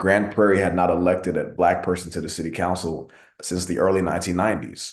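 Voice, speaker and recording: A man with a Texan accent, very deep and low in pitch, at a very fast pace, his intonation flat and monotone, with audible room echo. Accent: Texan American English. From Texas, Arlington (moved from Nigeria at two). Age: 20s. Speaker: city council member. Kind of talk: speech at an online meeting.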